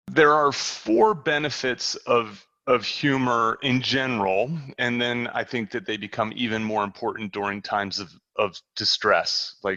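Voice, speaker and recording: With an American accent, a man speaks at a moderate pace and medium pitch in a bright, sharp tone, using ordinary pitch variation, in a dry, close sound with no echo and a quiet background. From New Jersey. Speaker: professor, humor researcher. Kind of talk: interview podcast. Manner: halting, many fillers and repeats.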